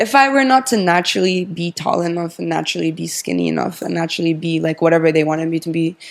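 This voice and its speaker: Talking at a very fast pace with hardly any pauses, a woman with a fairly low pitch and lively intonation is heard over noticeable background noise. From Japan and Czech Republic. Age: 20s. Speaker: fashion model and pageant winner. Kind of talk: interview. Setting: in person in Tokyo.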